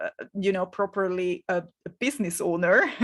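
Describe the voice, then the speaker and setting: Fairly slow speech from a woman with a Hungarian accent, ordinary pitch variation, and a dry, close sound with no echo. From Hungary. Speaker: business coach. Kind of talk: live webinar masterclass. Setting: live stream from home. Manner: halting, with frequent fillers and repetitions.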